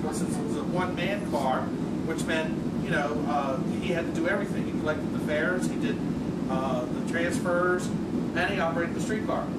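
Loud background noise surrounds a man speaking at a moderate pace with ordinary pitch variation. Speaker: museum streetcar guide. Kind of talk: guided tour talk. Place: train. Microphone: camera far.

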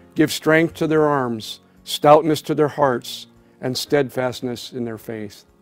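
Faint music plays in the background. The voice moves at a fairly slow pace with fairly even intonation. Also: man. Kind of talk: prayer and reflection. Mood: solemn, reverent. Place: office.

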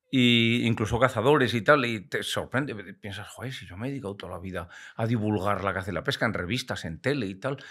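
A man talks at a very fast pace with big swings in loudness. The background is quiet. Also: ordinary pitch variation. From Spain, Castile (Valladolid); Castile, Spain. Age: 60s. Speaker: retired biologist and hunting broadcaster; podcast guest. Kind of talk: podcast interview. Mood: warm, reflective, lively. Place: studio. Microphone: studio mic.

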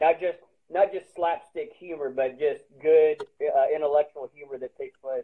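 Speaking with a US Midwestern accent, a man makes big swings in loudness at a moderate pace. His pitch variation is ordinary, and the background is quiet. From Springfield, Missouri; Missouri. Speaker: stand-up comedian. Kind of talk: casual chat. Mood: relaxed, jokey. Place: home room. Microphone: video call.

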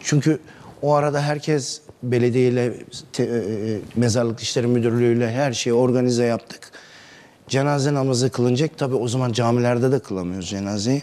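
This man talks at a fairly quick pace. His intonation is fairly even. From Turkey, Isparta; Turkey. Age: 40s. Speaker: neighbourhood headman; interview guest. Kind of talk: TV interview. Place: studio. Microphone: lapel.

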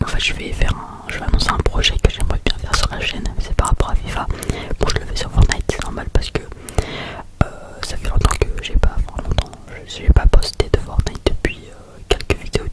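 Whispering comes at a fairly quick pace over noticeable background noise. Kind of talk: ASMR gaming commentary. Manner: whispered; casual, rambling.

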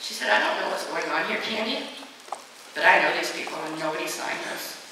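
Over light background noise and strong room echo, a woman speaks at a fairly quick pace. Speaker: motivational speaker against bullying. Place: hall.

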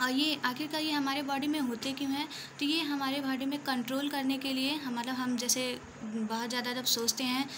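With noticeable noise in the background, a woman speaks in a high, monotone voice with flat intonation at a moderate pace. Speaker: student or tutor explaining biology. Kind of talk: tutorial. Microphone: phone near.

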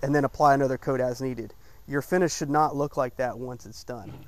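A man talks at a fairly quick pace, and the sound is dry with no echo. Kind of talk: tutorial. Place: garden. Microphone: lapel.

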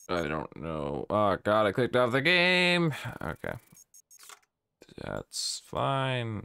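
A man's medium-pitched voice, bright and sharp in tone, with very wide pitch swings, a very slow pace and long, frequent pauses. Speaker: gaming streamer. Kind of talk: live gameplay commentary. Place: home room. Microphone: studio mic.

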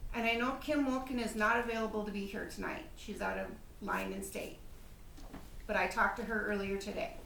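Fairly quick speech with ordinary pitch variation, noticeable background noise and audible room echo. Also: woman, fairly high pitch for a woman. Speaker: city council member. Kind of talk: public meeting debate. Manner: loud.

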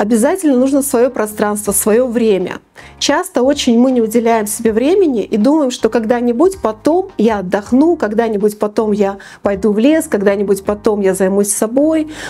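A dark, mellow tone at a moderate pace. The loudness stays very even while the intonation is lively. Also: woman, fairly high pitch for a woman. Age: 50s. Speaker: business psychologist; presenter. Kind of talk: talk to camera. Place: studio. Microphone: lapel.

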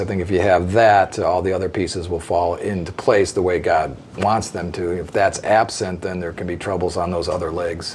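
Over light background noise, a man with an American accent speaks at a fairly quick pace. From US Midwest, northeastern Illinois near Chicago. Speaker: podcast guest. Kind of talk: casual interview. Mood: calm, warm.

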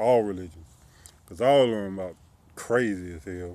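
In a dry recording with no echo, a man speaks in a fairly low, dark and mellow voice with ordinary pitch variation. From US South, Columbia, South Carolina; South Carolina. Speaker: YouTuber. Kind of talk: personal vlog monologue. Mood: critical, earnest about religion. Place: street. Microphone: phone near.

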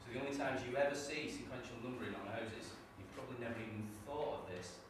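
Amid noticeable background noise and strong room echo, a man talks at a very fast pace. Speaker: trainee teacher; network marketing distributor. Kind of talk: classroom presentation. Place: classroom. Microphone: camera far.

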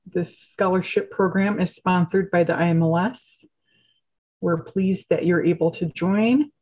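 A somewhat breathy woman at a fairly slow pace, with ordinary pitch variation against a quiet background. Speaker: project manager. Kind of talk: webinar host introduction. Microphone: video call.

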